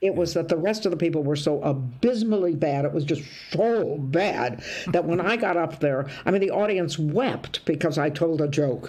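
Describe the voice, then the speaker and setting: With an American accent, a woman talks at a moderate pace in a very deep, low pitch, over noticeable background noise. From US Midwest, Toledo, Ohio. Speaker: comedian. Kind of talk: interview. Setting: video call.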